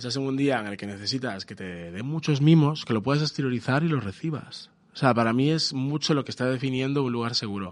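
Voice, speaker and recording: Very fast pace from a man at medium pitch, hardly any pauses, ordinary pitch variation. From Galicia, Spain. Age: 30s. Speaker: advertising creative. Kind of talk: casual chat. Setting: studio.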